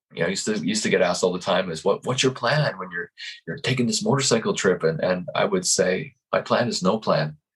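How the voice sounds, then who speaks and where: Speaking with a Canadian accent, a man races along at a very fast pace with very wide pitch swings and vocal fry. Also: medium pitch for a man. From Canada. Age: 50s. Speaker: life coach. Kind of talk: interview. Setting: podcast. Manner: halting, many repetitions.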